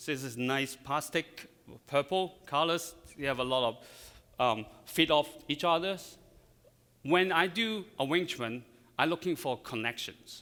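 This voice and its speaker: A man's fairly high, bright, sharp voice in a Chinese accent, with ordinary pitch variation and long, frequent pauses. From China. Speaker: floral designer. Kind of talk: live demonstration. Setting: stage with audience.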